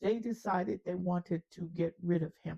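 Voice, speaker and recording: A woman speaks at a medium pitch with vocal fry and ordinary pitch variation. The sound is dry and close, with no echo. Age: 80s+. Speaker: storyteller. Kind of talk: storytelling.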